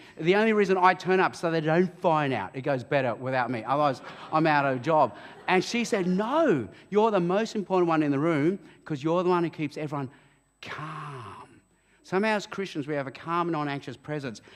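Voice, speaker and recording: With an Australian accent, a man speaks at a fairly quick pace. His tone is animated and his intonation lively. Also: fairly high pitch for a man. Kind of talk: interview at church event. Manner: loud.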